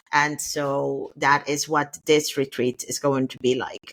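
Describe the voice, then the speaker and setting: A woman's very deep, low voice moves at a fairly slow pace with fairly even intonation, the sound dry and close with no echo. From Curaçao. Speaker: travel retreat organizer. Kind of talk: podcast interview.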